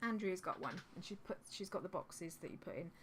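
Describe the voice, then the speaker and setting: A woman with a southern English accent at a very fast pace. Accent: generic southern English. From Suffolk, England. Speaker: reseller vlogger. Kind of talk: casual vlog. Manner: rambling, hesitant with many ums.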